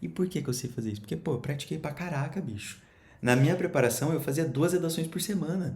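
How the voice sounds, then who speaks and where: Very fast, animated speech with vocal fry and audible room echo. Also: man. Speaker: education coach for exam students. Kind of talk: casual tutorial.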